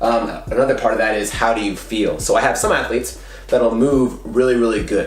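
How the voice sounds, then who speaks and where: There is audible room echo and music in the background while a man speaks. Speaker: fitness coach and YouTuber. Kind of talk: casual tutorial talk to camera. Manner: fast; animated.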